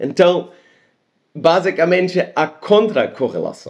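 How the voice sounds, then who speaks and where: With a non-native accent, a man speaks at a very slow pace. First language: not Portuguese (speaking Portuguese). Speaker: science video host. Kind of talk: casual explainer monologue. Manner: halting.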